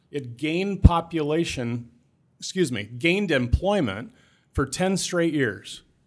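A man with a Midwestern American accent speaks at a fairly high pitch and a fairly slow pace, with big swings in loudness. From Southwest Iowa. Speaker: state economic development specialist, former city council member. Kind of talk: interview.

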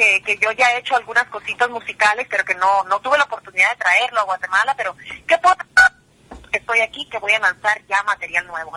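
A woman's lively intonation in a dry, close sound with no echo. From New Jersey, US (Guatemalan parents). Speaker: singer. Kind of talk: radio interview.

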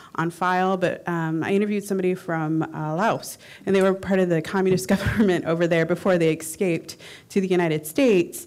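The recording is very clean and the background silent. An unremarkable speaking voice keeps fairly even intonation at a fairly quick pace. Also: woman. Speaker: oral historian audience member. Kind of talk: conference panel Q&A.

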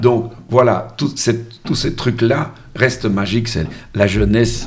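A man speaks at a very slow pace with ordinary pitch variation. Room echo is audible. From Brussels, Belgium. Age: 60s. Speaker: musician and amateur football coach. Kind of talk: casual interview.

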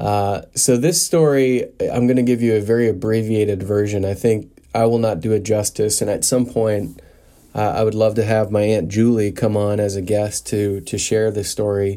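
With a Midwestern US accent, a man speaks at a moderate pace and fairly low pitch, using a dark, mellow tone and fairly even intonation. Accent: General American, Midwestern. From US Midwest, western Nebraska. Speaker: podcast host. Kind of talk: solo podcast monologue. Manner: frequent filler words, hesitant.

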